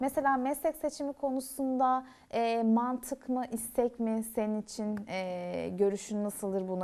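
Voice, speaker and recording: A woman with a dark, mellow tone, fairly high pitch and ordinary pitch variation. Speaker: university TV show host; talk show host. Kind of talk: casual interview. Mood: warm, friendly. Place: stage.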